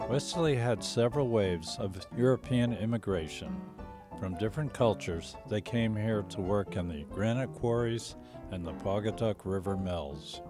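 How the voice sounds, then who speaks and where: Music in the background behind a man with lively intonation at a moderate pace. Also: fairly low pitch for a man. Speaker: interviewer. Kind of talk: documentary narration.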